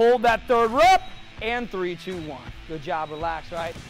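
Faint music can be heard in the background. Over it, a man speaks at a moderate pace. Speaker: fitness coach. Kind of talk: workout class coaching. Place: gym.

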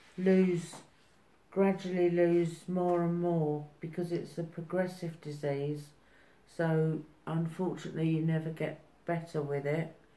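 Soft-spoken, the voice carries audible room echo. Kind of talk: interview answer. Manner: slow, soft speech of a frail elder. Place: home room. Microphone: phone near.

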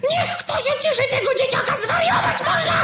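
A loud, angry, shouting put-on character voice at an extremely high pitch and a fairly quick pace. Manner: loud, angry, yelling.

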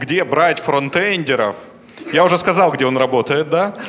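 A man with a normal speaking voice, fairly high pitch and ordinary pitch variation, over light background noise. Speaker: conference host / moderator; conference host, moderator. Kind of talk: conference moderating, announcements and Q&A. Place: hall. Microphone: handheld.

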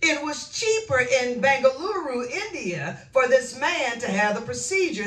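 A woman with a high pitch speaks at a fairly slow pace, with audible room echo. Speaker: minister. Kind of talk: sermon. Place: home room.

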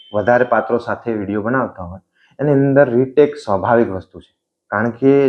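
A man with an unremarkable speaking voice and ordinary pitch variation. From Gujarat, Vadhiyar region. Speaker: comedy video creator. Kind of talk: interview.

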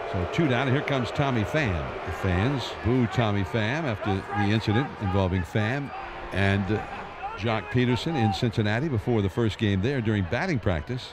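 Noticeable background noise sits behind a man's voice. He speaks at a medium pitch and moderate pace with lively intonation. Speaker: baseball broadcaster. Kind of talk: live baseball play-by-play.

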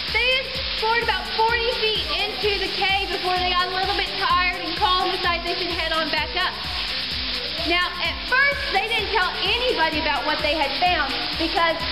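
Over loud background music, a woman talks at a moderate pace with ordinary pitch variation. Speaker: cave tour guide. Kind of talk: tour guide narration. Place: tunnel cave. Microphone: camera far.

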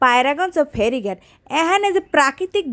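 In dry, close sound with no echo, a woman speaks in an animated tone at a high pitch with very wide pitch swings. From Bangladesh, Patuakhali. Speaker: travel vlogger. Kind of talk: casual vlog narration. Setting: outdoors.

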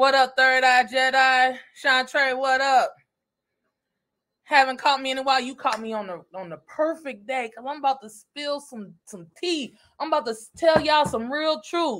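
A woman's high voice at a moderate pace, with a fairly bright tone and ordinary pitch variation

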